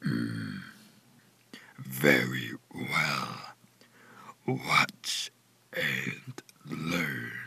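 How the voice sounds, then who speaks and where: A man puts on a raspy, cartoonish character voice with a very deep, low pitch. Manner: slow, composed.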